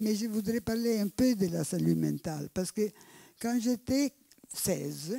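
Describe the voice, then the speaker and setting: A woman with an Italian accent speaks at medium pitch in a dark, mellow tone, slowly and with ordinary pitch variation. The sound is dry and close, with no echo. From Italy. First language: Italian (speaking French). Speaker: anthropologist, audience member. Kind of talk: audience question. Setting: public evening debate.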